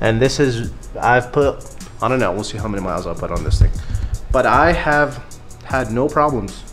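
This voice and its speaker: A man talks fairly slowly as music plays behind him. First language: not English. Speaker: car builder. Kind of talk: casual talk to camera.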